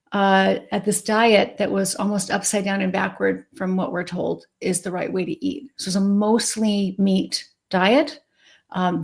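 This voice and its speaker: A woman talks in an ordinary speaking voice at medium pitch and a fairly slow pace, with ordinary pitch variation. The recording is very clean, with a silent background. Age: 60s. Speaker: psychiatrist. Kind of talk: interview.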